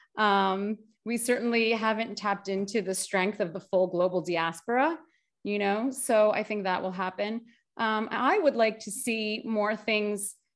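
In an American accent, a woman speaks fairly slowly in an ordinary speaking voice at a medium pitch. Her pitch variation is ordinary, and the background is quiet. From US, Greek American family. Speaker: agency founder and nonprofit community director. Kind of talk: casual interview chat. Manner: casual, many fillers like 'like' and 'you know'.

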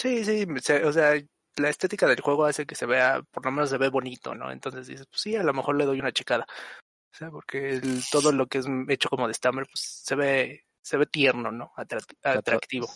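A plain, everyday voice from a man, fairly high in pitch, at a moderate pace with ordinary pitch variation, in a dry, close sound with no echo. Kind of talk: casual chat.

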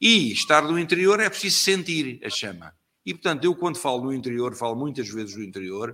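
Bright and sharp in tone, a man speaks at a fairly quick pace in a fairly high pitch with very wide pitch swings. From Portugal, Lisbon (Alfama). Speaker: trade union leader. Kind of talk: interview. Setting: online live stream.

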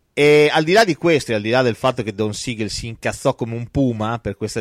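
A man talks in an animated tone at a medium pitch, with ordinary pitch variation. The recording is very clean, with a silent background and a dry, close sound with no echo. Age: young. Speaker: film podcast host. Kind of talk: casual chat.

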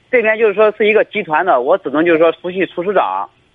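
Delivered fairly quickly, the speech rises and falls with lively intonation. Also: man. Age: 20s. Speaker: caller, migrant worker. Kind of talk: phone call-in. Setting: phone call.

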